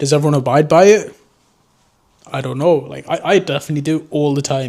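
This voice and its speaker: Moving at a fairly quick pace, a man with a dark, mellow tone speaks fairly high with ordinary pitch variation. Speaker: drone hobbyist vlogger. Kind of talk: unscripted vlog monologue. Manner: casual, rambling with fillers.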